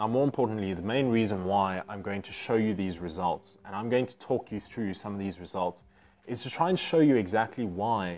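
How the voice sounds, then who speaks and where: It's an unremarkable speaking voice, a man at a moderate pace. His pitch is fairly low, with ordinary pitch variation. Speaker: educator. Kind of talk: casual vlog chat. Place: home room. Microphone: lapel.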